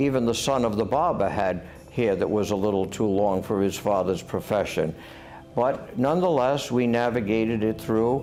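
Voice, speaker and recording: With music in the background and audible room echo, the speaker uses a Rhode Island accent, keeping a moderate pace, very even loudness and ordinary pitch variation. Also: man, medium pitch for a man. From US Northeast, Rhode Island. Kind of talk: interview testimony.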